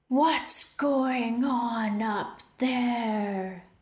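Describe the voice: Slight echo surrounds a female-sounding voice, high-pitched for a woman, doing a put-on character voice.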